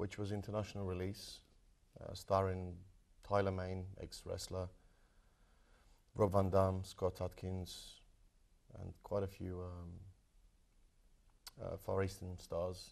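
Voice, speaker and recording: A man with a British accent speaks in a very deep, low pitch, monotone and flat, at a fairly slow pace. Long, frequent pauses break his speech against a quiet background. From Croatia, then London from age 12. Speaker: martial arts film actor. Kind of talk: interview.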